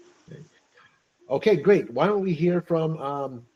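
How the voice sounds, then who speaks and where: A man's fairly high voice, dark and mellow in tone, with lively intonation and a very slow pace. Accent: American. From United States. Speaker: English teacher. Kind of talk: online English club conversation.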